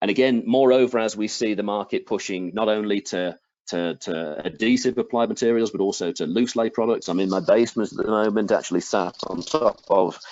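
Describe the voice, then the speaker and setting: A man talks at a moderate pace with an English accent. His pitch is fairly low. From England. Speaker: product manager presenting flooring products. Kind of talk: webinar product presentation. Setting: presenting from home basement.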